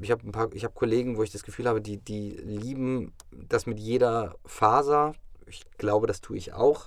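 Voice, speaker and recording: Using a normal speaking voice, a man talks at a moderate pace and medium pitch, with ordinary pitch variation and big swings in loudness. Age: 30s. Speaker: actor. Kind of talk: casual chat. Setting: studio.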